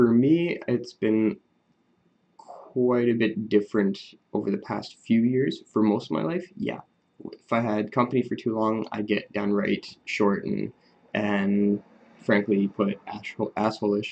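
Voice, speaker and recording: Soft-spoken, a man talks at a fairly slow pace. His pitch is fairly low, with ordinary variation. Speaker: vlogger talking about his Asperger's. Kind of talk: casual monologue to camera. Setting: at home recording on an iPad. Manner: quiet, soft-spoken; hesitant, many fillers.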